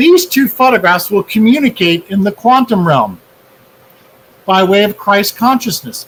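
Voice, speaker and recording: At a moderate pace, a man with a high pitch speaks with lively intonation and very even loudness. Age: 60s. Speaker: energy healing researcher. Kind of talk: interview.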